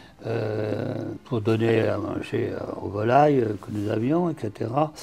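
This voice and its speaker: A man's medium-pitched voice at a fairly slow pace, ordinary pitch variation, noticeable background noise. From France, Touraine. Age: 80s+. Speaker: parapsychology practitioner. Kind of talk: interview. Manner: halting, many hesitations.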